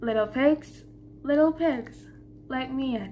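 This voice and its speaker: A put-on character voice speaks high and at a fairly slow pace. Clear background noise is present. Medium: read story. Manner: menacing.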